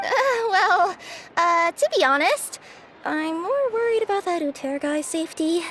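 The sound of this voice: A woman performs a put-on character voice at an extremely high pitch. Her tone is fairly bright, her intonation lively, and her pace fairly slow.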